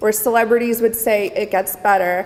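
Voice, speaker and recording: A woman with a Canadian accent talks at a fairly high pitch with ordinary pitch variation over noticeable background noise. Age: 20s. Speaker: psychology student. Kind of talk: testimony. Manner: halting.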